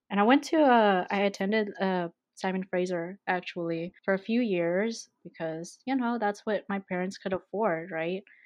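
With hardly any pauses, a woman in a Canadian accent talks at a moderate pace with ordinary pitch variation and an unremarkable speaking voice. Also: medium pitch for a woman. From Vancouver, Canada. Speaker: podcast guest. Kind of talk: casual chat.

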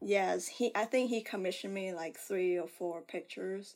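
Speaking at a moderate pace and medium pitch, a woman with a Vietnamese accent is heard in a very clean recording against a silent background. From Vietnam, Ho Chi Minh City. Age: 30s. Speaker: artist. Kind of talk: casual chat.

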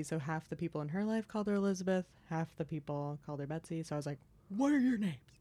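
Dark, mellow tone from a woman, her pitch fairly low. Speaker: stand-up comedian. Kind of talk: casual chat. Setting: studio.

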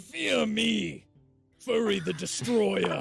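Over faint background music, a man does a raspy put-on character voice at a fairly low pitch. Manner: menacing, boastful.

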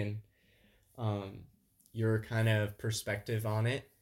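A man with an ordinary speaking voice and an American accent, medium in pitch, at a fairly slow pace in a very clean recording with a silent background. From Southwest Illinois. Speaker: podcast co-host. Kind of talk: casual chat.

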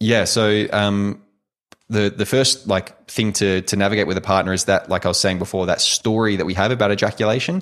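A man with an Australian accent, fairly low in pitch, at a fairly quick pace with fairly even intonation and very even loudness. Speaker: sex coach. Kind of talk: interview conversation.

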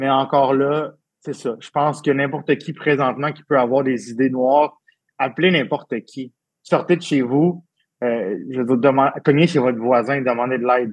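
Speaking at a moderate pace, a man holds a medium pitch with fairly even intonation. His loudness swings a lot. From Quebec, Abitibi-Témiscamingue. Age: 30s. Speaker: event and wine industry worker, suicide attempt survivor. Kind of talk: personal testimony. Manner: halting, repeats words.

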